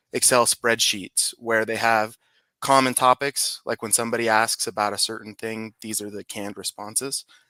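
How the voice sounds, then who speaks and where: Recorded very cleanly against a silent background with a dry, close sound and no echo, a man at medium pitch talks at a moderate pace in a bright, sharp tone, his intonation monotone and flat while his loudness swings widely. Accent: Utah. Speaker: digital marketer. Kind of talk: casual chat.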